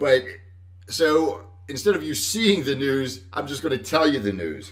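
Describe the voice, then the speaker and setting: With audible room echo, a man talks at a fairly slow pace and ordinary pitch variation. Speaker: Medicare insurance advisor. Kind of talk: casual live stream talk. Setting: Facebook Live stream. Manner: loud; halting.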